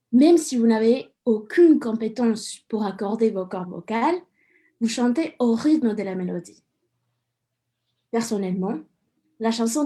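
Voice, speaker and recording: The voice has a dark, mellow tone. It leaves long, frequent pauses. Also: woman. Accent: Mexican. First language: Spanish (speaking French). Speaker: student radio columnist. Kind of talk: scripted radio column.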